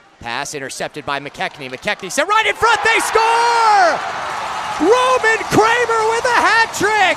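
A man talks at a fairly slow pace. Noticeable background noise runs behind him. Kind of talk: live hockey play-by-play commentary. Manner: builds to a roaring crescendo on the overtime winner.

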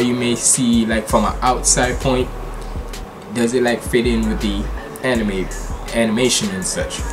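A man talks at a moderate pace while faint music sounds in the background. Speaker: reaction video creator. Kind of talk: casual vlog chat. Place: home room. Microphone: webcam.

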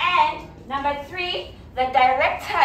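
A woman talks at a very slow pace in a high voice. Light background noise and audible room echo are present. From South Africa. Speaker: English teacher. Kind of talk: classroom teaching to young learners. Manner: slow, simple words. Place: classroom.

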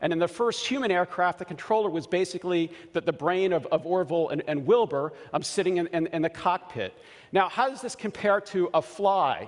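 Against a quiet background, a man with an American accent speaks at a high pitch with ordinary pitch variation. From US, Baltimore. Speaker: scientist. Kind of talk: conference talk. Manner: halting, many fillers and repeats. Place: stage. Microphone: headset.

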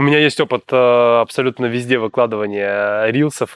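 With a dry sound and no echo, a man talks at a moderate pace. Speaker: podcast host. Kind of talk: interview. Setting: studio. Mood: friendly, smiling. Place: studio.

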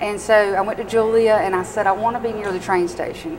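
A woman talks at a moderate pace while noticeable background noise carries on. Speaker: guest. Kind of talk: interview answer. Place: cafe. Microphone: lapel.

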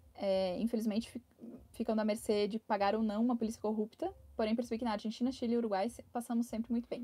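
A woman's somewhat breathy, dark, mellow voice at a fairly high pitch, very fast in pace and very even in loudness. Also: fairly even intonation. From Brazil. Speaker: travel vlogger. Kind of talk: live stream chat. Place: home room. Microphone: lapel.

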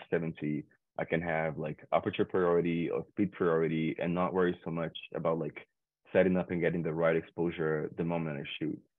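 Against a quiet background with a dry sound and no echo, a man with a very deep, low pitch talks at a fairly quick pace in a monotone, flat intonation. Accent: Portuguese. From Brazil, Rio de Janeiro outskirts; Rio de Janeiro, Brazil. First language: Portuguese. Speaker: photographer; guest. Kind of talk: tutorial. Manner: halting, many fillers. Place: home room. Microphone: webcam.

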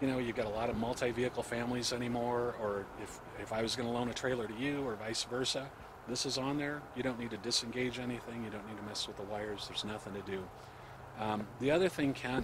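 Over noticeable background noise, a man speaks at a very fast pace with fairly even intonation, and the sound is dry with no echo. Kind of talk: interview answer. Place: open country. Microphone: handheld.

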